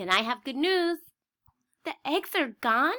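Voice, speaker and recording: In a very clean recording with a silent background, a woman uses a put-on character voice. Her pitch is high and her pace fairly slow. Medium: read story. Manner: calm, upbeat.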